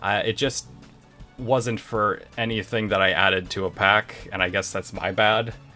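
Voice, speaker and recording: With music in the background, a man talks at a moderate pace. His pitch is medium. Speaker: game developer. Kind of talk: casual talk to camera. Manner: casual, rambling.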